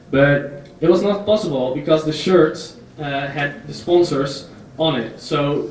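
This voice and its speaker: Over noticeable background noise and audible room echo, a man with a Dutch accent speaks at a fairly high pitch. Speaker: entrepreneur. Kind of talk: conference talk. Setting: stage with audience. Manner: halting.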